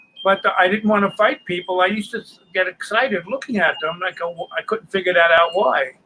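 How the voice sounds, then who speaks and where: A man's raised, projected voice in a New York accent, high in pitch with ordinary pitch variation, big swings in loudness, a fairly quick pace and hardly any pauses. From New York City. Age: 80s+. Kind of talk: interview.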